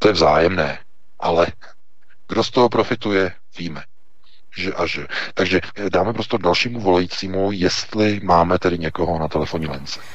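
A man with a very deep, low pitch talks at a fairly quick pace but takes long, frequent pauses. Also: ordinary pitch variation. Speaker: news portal editor-in-chief. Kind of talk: political commentary. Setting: Skype call.

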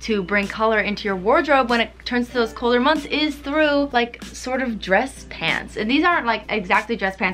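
A woman speaks at a fairly quick pace with ordinary pitch variation. Faint music plays in the background. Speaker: fashion vlogger. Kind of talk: casual vlog chat. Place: home room. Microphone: camera far.

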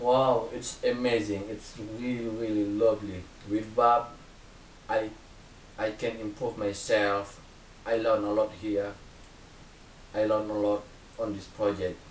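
A man's fairly low voice, monotone and flat, at a fairly slow pace with long, frequent pauses, audible room echo and light background noise. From Indonesia. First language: Indonesian. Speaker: volunteer. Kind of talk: personal testimony to camera. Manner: halting, non-native phrasing. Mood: earnest, hopeful. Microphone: webcam.

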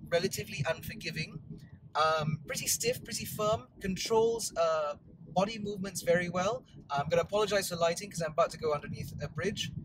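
A man speaks fairly quickly, his voice dry with no echo, while noticeable background noise sits underneath. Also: ordinary pitch variation. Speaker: car reviewer. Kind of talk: car review commentary. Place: car. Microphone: lapel.

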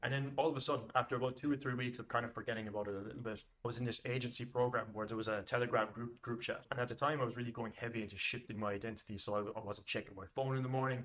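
Spoken with an Irish accent at a very fast pace, with hardly any pauses. The intonation stays fairly even. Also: man, medium pitch for a man. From Ireland. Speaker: business coach. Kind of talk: monologue tutorial to camera. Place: home room.

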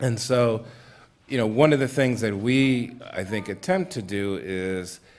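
With an American accent, a man speaks with ordinary pitch variation. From Massachusetts. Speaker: Baptist minister and foundation program director; Baptist minister. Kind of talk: panel discussion. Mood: thoughtful, earnest. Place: stage. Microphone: studio mic.

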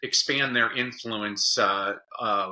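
Against a quiet background, a man's fairly low voice has a bright, sharp tone. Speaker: podcast guest, educator, speaker. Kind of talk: interview answer. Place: home room.

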